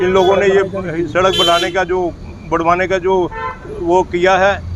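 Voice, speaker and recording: Noticeable background noise behind a man's high-pitched voice. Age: 70s. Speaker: local resident. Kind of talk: street interview at protest.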